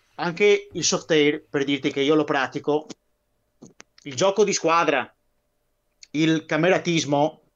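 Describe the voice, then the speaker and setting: With a Venetian accent, a man speaks fairly slowly in a fairly high voice. His intonation is fairly even, broken by long, frequent pauses. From Veneto, Italy. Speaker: guest on a military history live stream; guest. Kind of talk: casual chat. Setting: live stream. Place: home room. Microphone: video call.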